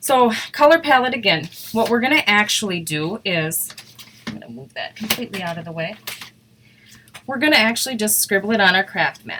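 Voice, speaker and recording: A woman with an Upper Midwest US accent talks fairly quickly at a fairly high pitch, with very wide pitch swings and big swings in loudness. Long, frequent pauses break up her speech over noticeable background noise. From Wisconsin. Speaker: craft demonstrator. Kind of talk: live craft tutorial. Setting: live stream. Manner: fast.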